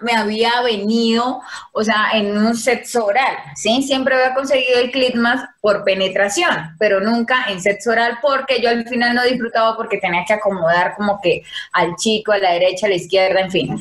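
A normal speaking voice from a woman, fairly high in pitch with ordinary variation, at a moderate pace. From Colombia, Casanare (eastern plains). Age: 20s. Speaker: environmental engineer, dancer and model. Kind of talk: casual chat.

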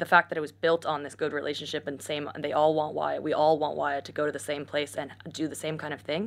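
The speaker talks at a fairly quick pace with vocal fry, on a very clean recording with a silent background. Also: woman. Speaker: startup executive. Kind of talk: casual panel discussion.

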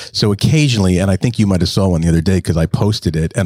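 A man's very deep, low voice with a dark, mellow tone and ordinary pitch variation. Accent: American. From New Jersey. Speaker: podcast co-host, comedian. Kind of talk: casual chat. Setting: studio.

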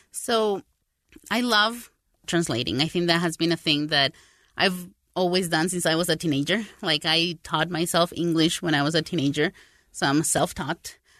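In a quiet background, a woman speaks with a Spanish accent. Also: fairly low pitch for a woman, ordinary pitch variation, moderate pace, very even loudness, dry, close sound with no echo. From Paraguay and South America. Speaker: translator. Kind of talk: casual interview conversation.

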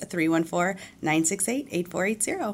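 This is an unremarkable speaking voice with an American accent. The pace is moderate, with ordinary pitch variation. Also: woman. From US Midwest, St. Louis, Missouri. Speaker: retail store manager. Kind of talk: radio interview.

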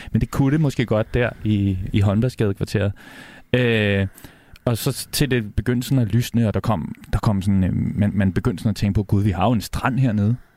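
A man talks at a fairly low pitch in a dark, mellow tone. His loudness stays very even and his intonation fairly even. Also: moderate pace. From Copenhagen, Amager. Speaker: radio host and DJ, guest judge. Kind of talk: casual chat.

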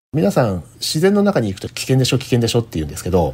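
A man's dark, mellow voice at a medium pitch, very fast, with vocal fry and very wide pitch swings. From Japan, Kanagawa. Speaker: polar explorer. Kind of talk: interview. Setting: remote call.

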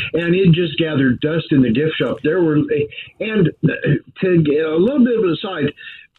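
A man talks at a moderate pace, fairly high in pitch and lively in intonation, against noticeable background noise. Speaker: motorsports radio broadcaster. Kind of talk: casual interview. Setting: remote call.

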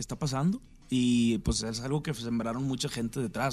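This man talks at a moderate pace with an unremarkable speaking voice and ordinary pitch variation. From Mexico, Sinaloa. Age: 30s. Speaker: singer-songwriter. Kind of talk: radio interview.

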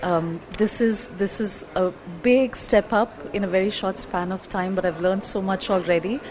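Against noticeable background noise, a woman speaks at a moderate pace in a medium pitch with fairly even intonation. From India, Kerala. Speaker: cooking class student. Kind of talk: casual chat.

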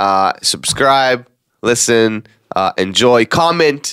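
A man with an Israeli accent at a very slow pace, in a dry, close sound with no echo. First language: Hebrew. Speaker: podcast co-host, content creator. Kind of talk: casual chat.

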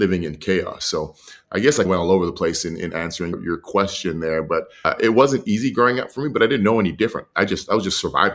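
A man with a Canadian accent uses a normal speaking voice at a fairly low pitch with ordinary pitch variation. The recording is very clean, with a silent background. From Edmonton, Canada. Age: 30s. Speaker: retired pro football player and motivational speaker. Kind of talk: interview conversation.

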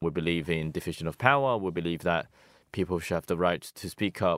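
With a Hong Kong accent, a man speaks at a moderate pace in a very deep, low pitch with ordinary pitch variation, on a very clean recording with a silent background and a dry, close sound with no echo. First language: Cantonese. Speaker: pro-democracy activist. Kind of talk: interview.

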